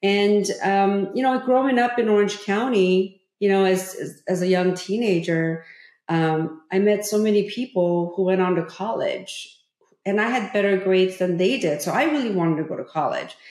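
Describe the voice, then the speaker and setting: The woman's pitch is medium, with ordinary variation. She talks at a moderate pace. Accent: Korean. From South Korea (Seoul). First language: Korean. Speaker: former state politician and author. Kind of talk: interview conversation.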